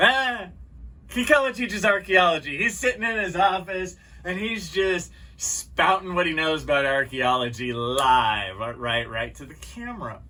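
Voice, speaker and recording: A man with a high pitch talks at a fairly slow pace, with very wide pitch swings and big swings in loudness. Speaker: archaeology educator YouTuber. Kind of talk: casual off-the-cuff talk to camera. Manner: casual, off the cuff.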